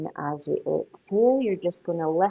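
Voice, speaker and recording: A woman speaks at a fairly slow pace with a Scottish accent. Her intonation is lively. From Scotland. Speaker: yoga teacher. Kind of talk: guided yoga class instruction. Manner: gentle, calm.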